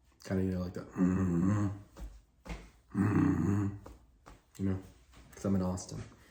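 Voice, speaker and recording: A man's very deep, low voice with fairly even intonation at a moderate pace, long, frequent pauses and audible room echo. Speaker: job candidate and sales career content creator. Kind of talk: casual chat to camera, then job interview.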